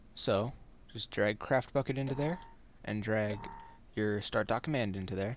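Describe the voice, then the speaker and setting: Speaking at a moderate pace with long, frequent pauses, a man uses a fairly low pitch and ordinary pitch variation. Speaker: gaming tutorial youtuber. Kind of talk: screen-recorded tutorial. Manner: casual, halting with fillers.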